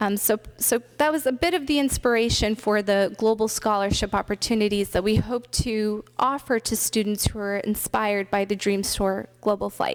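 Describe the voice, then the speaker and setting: With a General American accent, a woman has a plain, everyday voice, fairly high in pitch, with ordinary pitch variation, very even loudness and a moderate pace. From US West Coast, Richmond, California. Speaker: pilot. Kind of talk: conference presentation.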